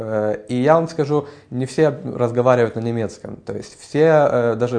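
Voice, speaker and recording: A man of medium pitch at a fairly slow pace, with fairly even intonation. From Ukraine. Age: 20s. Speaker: music student. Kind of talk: interview. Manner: hesitant, many filler sounds.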